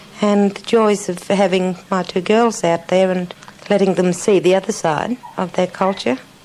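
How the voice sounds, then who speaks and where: A woman's voice over noticeable background noise. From Central Australia, Utopia station. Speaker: former film actress. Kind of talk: interview.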